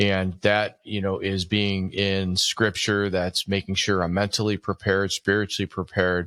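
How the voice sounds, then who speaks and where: In a dry, close sound with no echo and a very clean, silent background, a man speaks at a moderate pace in a bright, sharp tone, his fairly low pitch monotone with flat intonation. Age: 50s. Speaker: business owner and author. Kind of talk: podcast interview.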